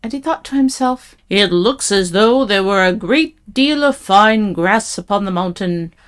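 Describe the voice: Simple, plain reading aloud.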